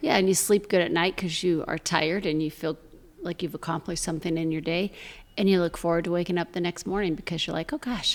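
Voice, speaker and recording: A woman with an American accent, fairly low in pitch, talking at a very fast pace with fairly even intonation. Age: 60s. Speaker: charity founder. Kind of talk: casual chat.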